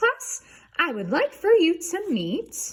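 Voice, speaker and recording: A squeaky put-on character voice at a fairly slow pace, full of very wide pitch swings. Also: woman, extremely high pitch for a woman. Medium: read story. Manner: gushing, brisk.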